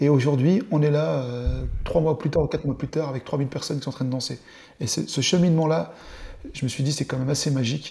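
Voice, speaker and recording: A man with a fairly high pitch, talking at a very fast pace broken by long, frequent pauses. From eastern France (Dole, Jura). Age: 40s. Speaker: show producer, entrepreneur. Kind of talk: interview, casual chat.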